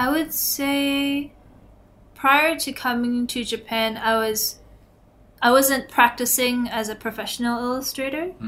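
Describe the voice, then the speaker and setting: With a Canadian accent, a woman speaks at a fairly slow pace in a high pitch with fairly even intonation. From Canada, Toronto. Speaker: illustrator. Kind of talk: interview.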